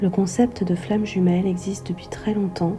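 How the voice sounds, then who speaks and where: A soft-spoken woman at a fairly slow pace with fairly even intonation, music in the background. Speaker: sophrologist and astrologer. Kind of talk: meditative spiritual podcast.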